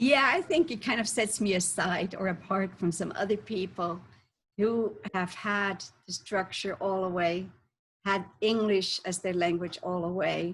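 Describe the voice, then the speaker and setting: Speaking at a fairly slow pace with a German accent, a woman has a medium pitch, ordinary pitch variation and a somewhat breathy voice, on a very clean recording with a silent background. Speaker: health coach. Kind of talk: interview.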